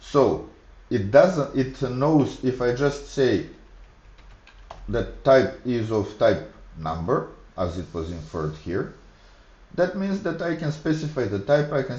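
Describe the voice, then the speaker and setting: With a Macedonian accent, a man speaks at a fairly slow pace in a dark, mellow tone with vocal fry and very wide pitch swings, his voice carrying audible room echo. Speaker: programming streamer. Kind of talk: live coding tutorial. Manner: halting, thinking aloud.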